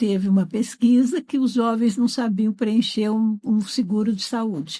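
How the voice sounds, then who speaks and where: Somewhat breathy and fairly high in pitch, a woman speaks at a fairly slow pace in a dark, mellow tone. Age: 70s. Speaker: educator. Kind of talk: interview. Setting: studio.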